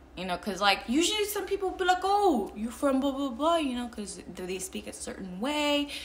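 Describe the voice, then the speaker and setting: A woman with an American accent, high-pitched with very wide pitch swings, at a fairly quick pace with hardly any pauses, over noticeable background noise. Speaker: vlogger and podcaster. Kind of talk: casual podcast talk.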